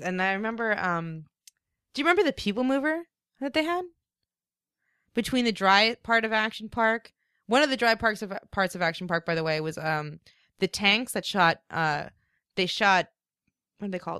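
In an American accent, a bright, sharp voice moves at a moderate pace with long, frequent pauses, recorded dry and close with no echo against a silent background on a very clean recording. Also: woman. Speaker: English teacher abroad. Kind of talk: casual chat.

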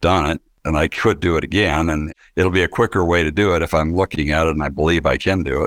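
Over a silent background in a very clean recording, a man talks at a fairly quick pace in a very deep, low voice, the sound dry and close with no echo. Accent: American. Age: 50s. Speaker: business owner, manufacturing company president. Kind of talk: interview testimony.

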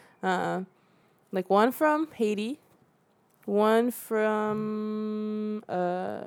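Pausing long and often, a woman with a Central Californian accent speaks in a fairly high pitch with fairly even intonation. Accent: Central California English. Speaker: documentary filmmaker. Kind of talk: casual interview. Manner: laughs often.

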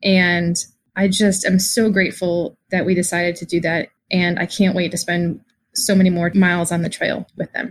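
Her voice is fairly low in pitch and somewhat breathy. The woman's intonation stays monotone and flat. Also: moderate pace. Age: 40s. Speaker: listener, mother. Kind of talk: personal story.

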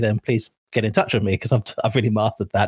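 A man talks in a southern English accent, his voice somewhat breathy. The recording is very clean and dry, close with no echo, over a silent background. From England, Suffolk. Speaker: online gaming community moderator. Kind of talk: casual interview.

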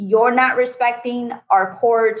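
Speaking at a fairly slow pace, a woman talks with a Portuguese accent. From Brazil. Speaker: state legislator and attorney. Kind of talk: interview. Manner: animated.

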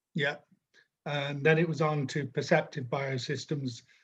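A man's somewhat breathy voice, fairly high in pitch, with fairly even intonation. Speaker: interviewer, podcast host. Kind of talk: interview. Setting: video call.

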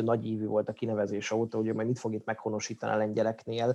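Very fast-paced man's voice, dark and mellow in tone, against a quiet background. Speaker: sports podcast host. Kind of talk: casual chat. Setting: studio.

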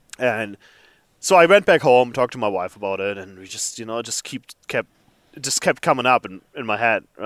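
A man with a German accent at a fairly quick pace, medium pitch, lively intonation and big swings in loudness, in a dry, close sound with no echo. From Germany. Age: 30s. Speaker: flour milling engineer, new hunter. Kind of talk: interview.

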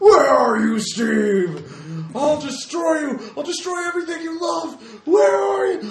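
A high-pitched, put-on character voice at a fairly slow pace, with slight echo and clear background noise. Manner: menacing, threatening.

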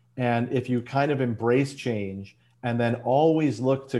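With an American accent, a man speaks at a medium pitch and a moderate pace. His tone is dark and mellow. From US Midwest, Chicago. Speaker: business advisor and entrepreneur. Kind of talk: interview.

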